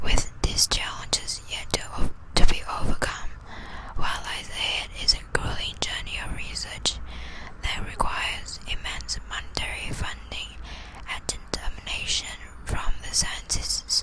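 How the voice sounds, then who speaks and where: Someone is whispering at a fairly slow pace. Background noise is noticeable. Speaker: ASMR creator, student. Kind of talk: dry scientific report reading, sleep ASMR. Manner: slow, whispered, with occasional stumbles.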